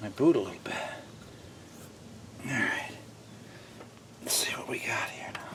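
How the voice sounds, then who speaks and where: Someone whispers and mumbles with long, frequent pauses, over noticeable background noise and audible room echo. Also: man, moderate pace. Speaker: DIY car repair presenter. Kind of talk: tutorial. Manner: mumbling; casual, thinking aloud.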